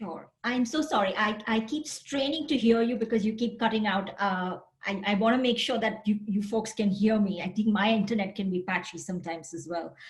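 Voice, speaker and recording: Fairly quick speech in an Indian accent, with hardly any pauses, ordinary pitch variation and noticeable background noise. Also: woman, fairly high pitch for a woman. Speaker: university counseling center director. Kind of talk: panel discussion.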